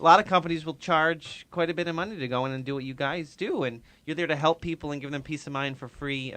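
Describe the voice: A man's bright, sharp, fairly high voice in a Rhode Island accent, very fast with hardly any pauses and ordinary pitch variation, over a quiet background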